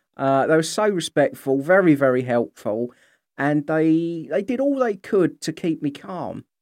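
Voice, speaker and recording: In a very clean recording with a silent background and a dry, close sound with no echo, a man with a British accent speaks fairly slowly at a fairly high pitch with very wide pitch swings. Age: 40s. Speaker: podcast host living with MS. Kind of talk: casual solo monologue.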